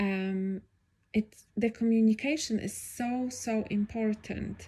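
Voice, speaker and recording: A woman with a non-native accent speaks at a very slow pace, her fairly high, somewhat breathy voice dark and mellow in tone, with fairly even intonation. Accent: non-native accent, self-described. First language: not English. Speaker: podcaster. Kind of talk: casual solo podcast monologue. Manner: improvised, hesitant with fillers.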